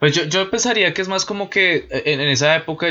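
A man with an unremarkable speaking voice, fairly quick pace and ordinary pitch variation. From Colombia. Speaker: podcast host. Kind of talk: casual chat. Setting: online voice call.

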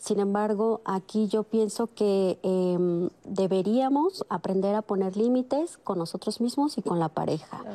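A woman at a fairly slow pace with hardly any pauses, dry, close sound with no echo, and noticeable background noise. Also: medium pitch for a woman, ordinary pitch variation. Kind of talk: panel discussion.

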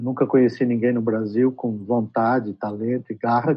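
At a moderate pace, the speaker talks with a Brazilian accent in a monotone, flat intonation. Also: man. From Brazil (São Paulo), born in Trás-os-Montes, Portugal. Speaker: advertising executive. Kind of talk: interview. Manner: halting.

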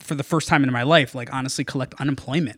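A man with a plain, everyday voice and an American accent, fairly high-pitched, fairly even in intonation, dry and close with no echo, on a very clean recording with a silent background. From Norwalk, Connecticut. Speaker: food journalist. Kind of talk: casual chat. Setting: in person in host's apartment.

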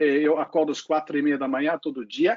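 Talking at a moderate pace, a man speaks with a non-native accent. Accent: foreign accent in Portuguese. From Lake Constance region, German-speaking Europe. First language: German (speaking Portuguese). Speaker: solar company executive. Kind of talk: panel discussion.

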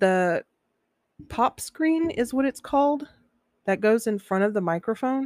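A woman with a fairly high pitch and lively intonation speaks at a fairly slow pace, leaving long, frequent pauses at very even loudness. The recording is very clean, with a silent background and a dry, close sound with no echo. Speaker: podcast host. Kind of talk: casual monologue. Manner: uneven volume. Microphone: new microphone with pop screen.

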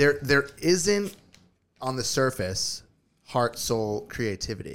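A normal speaking voice from a man, fairly slow in pace with lively intonation. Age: 30s. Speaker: podcast co-host. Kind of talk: casual chat.

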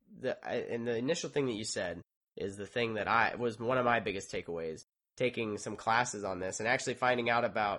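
In a bright, sharp tone, a man talks at a fairly quick pace with fairly even intonation over a quiet background. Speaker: podcast host; engineer. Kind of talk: casual podcast monologue and interview.

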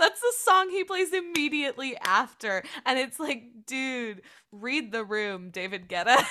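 A woman speaks in a raised, projected voice at a high pitch with very wide pitch swings. Her tone is bright, sharp and animated, and her pace is fairly slow. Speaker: podcast co-host. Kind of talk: casual chat.

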